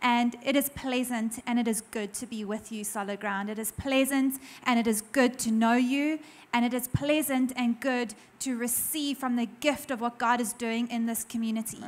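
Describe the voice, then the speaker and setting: A woman's high-pitched voice, at a moderate pace, with fairly even intonation. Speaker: pastor's wife, guest speaker. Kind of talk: warm greeting. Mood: warm, grateful. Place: church. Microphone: handheld.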